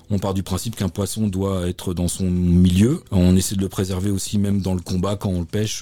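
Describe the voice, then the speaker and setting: The tone is dark and mellow, the intonation fairly even, and the recording very clean with a silent background. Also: man. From Normandy, France. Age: 50s. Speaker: fly-fishing and river protection volunteer. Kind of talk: interview. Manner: halting.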